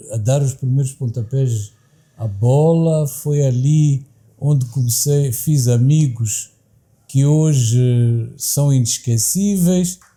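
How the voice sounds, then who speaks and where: Very slowly, a man speaks at a medium pitch with ordinary pitch variation. His voice is somewhat breathy with a dark, mellow tone. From Mozambique, Maputo (Xamanculo). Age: 60s. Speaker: university director, academic. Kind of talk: interview. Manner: formal, with hesitations.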